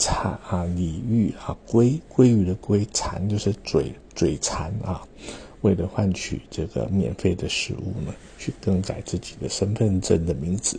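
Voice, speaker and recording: This man's very deep, low voice shifts in pitch in an ordinary way as he goes at a fairly slow pace. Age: 50s. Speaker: calligrapher and artist vlogger. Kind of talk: casual monologue. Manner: halting, many filler particles.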